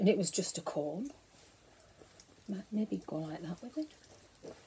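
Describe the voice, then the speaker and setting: Lively intonation in a woman's somewhat breathy voice with a dark, mellow tone. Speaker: knitting vlogger. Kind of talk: casual show-and-tell vlog. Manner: talking quietly.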